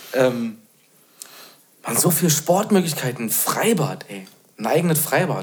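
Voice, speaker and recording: A man with a fairly high pitch, very wide pitch swings and big swings in loudness, at a fairly slow pace with long, frequent pauses. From Bad Belzig, Brandenburg. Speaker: guest, returning resident. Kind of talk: casual chat.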